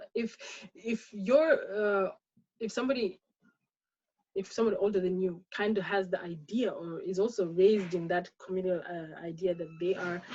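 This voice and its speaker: A woman speaks at medium pitch in a dark, mellow tone. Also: ordinary pitch variation, moderate pace. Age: 30s. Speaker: webinar panelist. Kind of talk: panel discussion. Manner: halting, many repetitions.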